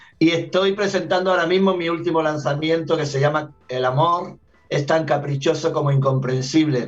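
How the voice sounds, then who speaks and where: Over music in the background, a man with a fairly high pitch speaks at a moderate pace with fairly even intonation. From Andalusia, Granada (southern Spain). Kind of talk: radio interview.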